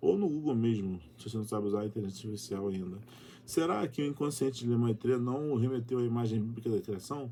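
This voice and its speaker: With ordinary pitch variation, this voice carries a dark, mellow tone. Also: man. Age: 40s. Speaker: YouTuber. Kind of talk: reading aloud with commentary.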